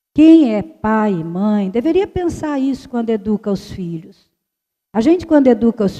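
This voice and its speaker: A woman speaks with a fairly high pitch and a dark, mellow tone. Her intonation is lively. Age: 60s. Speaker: consecrated religious speaker. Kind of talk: formation talk.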